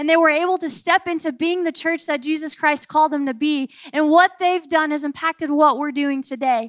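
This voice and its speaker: Hardly pausing, a woman speaks at a fairly quick pace with a high pitch. Her tone is animated. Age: 20s. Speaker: preacher. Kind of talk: sermon.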